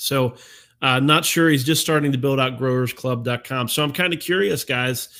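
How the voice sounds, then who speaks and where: A man's bright, sharp voice at a medium pitch. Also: ordinary pitch variation. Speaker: domain investing live-stream host. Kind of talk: live-stream talk to community. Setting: live stream. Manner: fast; casual, with many fillers.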